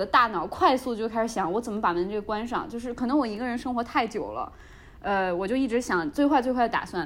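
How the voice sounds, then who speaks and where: A woman at a fairly high pitch, with lively intonation and a very fast pace. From Hebei, China. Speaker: podcast co-host. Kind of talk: casual chat. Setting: video call.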